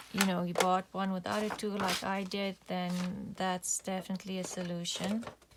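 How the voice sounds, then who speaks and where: Monotone, flat intonation from a woman at a medium pitch and moderate pace, with noticeable background noise. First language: not English. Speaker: crafting YouTuber. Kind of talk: craft tutorial. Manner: casual, with fillers.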